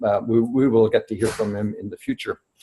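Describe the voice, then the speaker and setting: This man's voice has a dark, mellow tone. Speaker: webinar host. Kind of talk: webinar presentation. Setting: online webinar. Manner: halting, many fillers and repeats.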